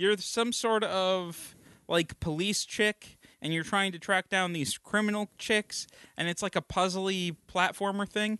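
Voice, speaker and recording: A man with a high pitch uses a raised, projected voice and a bright, sharp tone, speaking at a fairly slow pace with fairly even intonation. The sound is dry and close with no echo, against a quiet background. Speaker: podcast host. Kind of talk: casual chat. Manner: joking, bantering.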